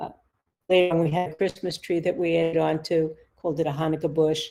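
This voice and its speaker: A woman with a New York accent speaks very fast in a fairly low pitch. Her tone is dark and mellow, and her intonation is monotone and flat. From US, New York City (the Bronx). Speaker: author and psychotherapist. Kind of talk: interview, personal storytelling.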